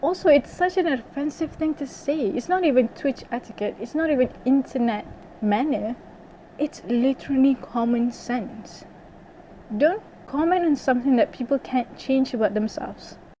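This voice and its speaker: A woman with a non-native accent speaks at a high pitch and a moderate pace. Her pitch varies in an ordinary way, and there is noticeable background noise. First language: not English. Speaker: YouTuber, English major student. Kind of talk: rant vlog. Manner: animated; repeats phrases, says like a lot.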